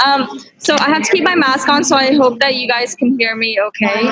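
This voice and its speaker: Over noticeable background noise, a woman speaks in a high-pitched voice. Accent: Canadian. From Canada (London, Ontario), immigrant family. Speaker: real estate investor. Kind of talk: personal story talk.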